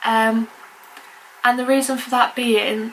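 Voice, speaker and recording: Against noticeable background noise, a woman's fairly high voice holds a monotone, flat intonation. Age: 20s. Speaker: vlogger. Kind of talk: casual vlog talk. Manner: halting.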